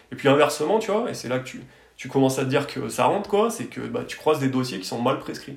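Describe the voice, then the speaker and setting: This man talks at a very fast pace in a fairly high pitch, with very wide pitch swings and big swings in loudness. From France, Drôme (Tain-l'Hermitage area). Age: 30s. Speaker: architect. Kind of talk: interview. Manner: halting, many repetitions and fillers.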